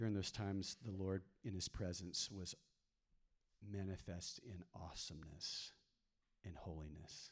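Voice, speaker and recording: A man with a very deep, low voice and an American accent speaks at a moderate pace, his intonation fairly even and broken by long, frequent pauses. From Texas. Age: 50s. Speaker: pastor. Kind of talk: sermon. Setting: church.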